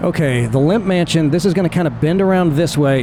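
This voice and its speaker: Noticeable background noise behind a man in a relaxed tone with ordinary pitch variation. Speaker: flight sim YouTuber narrating a virtual tour. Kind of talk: casual live commentary over gameplay. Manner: relaxed, conversational.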